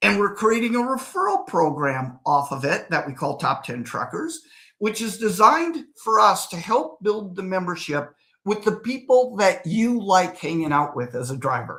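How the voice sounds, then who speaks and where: A man's raised, projected voice, high-pitched and animated, with a bright, sharp tone and very wide pitch swings on a very clean recording with a silent background. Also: moderate pace. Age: 60s. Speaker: real estate developer. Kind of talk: interview.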